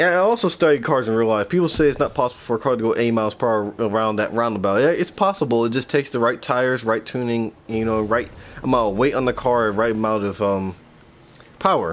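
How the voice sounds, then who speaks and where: At a very fast pace, a man talks at medium pitch with ordinary pitch variation and very even loudness. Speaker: game streamer. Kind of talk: gameplay livestream commentary. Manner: casual, rambling; stuttering.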